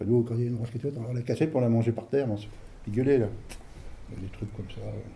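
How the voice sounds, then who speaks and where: A man speaks at a very fast pace with long, frequent pauses, medium pitch, fairly even intonation, a somewhat breathy, dark, mellow tone and big swings in loudness. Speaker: elderly villager interviewed. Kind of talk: interview reminiscence. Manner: hesitant, colloquial.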